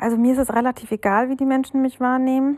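Speaking at a moderate pace, a woman uses a high voice. The sound is dry and close, with no echo. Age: 30s. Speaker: listener sending a voice message. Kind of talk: recorded voice message. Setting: self-recorded audio message.

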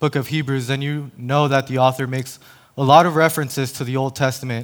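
A man talks at a fairly quick pace in a medium pitch, an ordinary speaking voice. The recording is very clean, with a silent background. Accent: American. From El Paso, Texas. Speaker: lay preacher, campus minister. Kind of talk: sermon. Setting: church stage.

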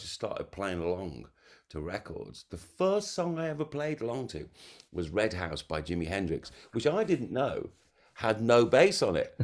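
A man speaks with vocal fry and an animated tone. His pitch swings very widely. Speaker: bass player and music lecturer. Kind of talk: casual interview chat. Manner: animated, humorous.

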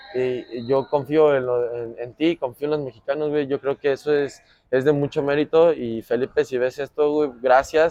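Recorded dry and close with no echo, a man with a fairly high pitch talks at a moderate pace in a monotone, flat intonation. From Mexico City. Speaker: professional basketball player. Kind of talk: casual interview chat. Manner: repetitive, halting with many restarts.

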